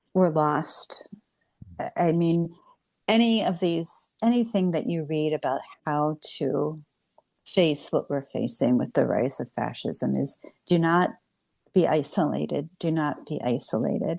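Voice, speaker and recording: A woman's very deep, low, dark and mellow voice with an American accent, lively intonation and a fairly slow pace over a quiet background. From Cincinnati, Ohio, US. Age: 60s. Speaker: writer and activist. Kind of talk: interview conversation.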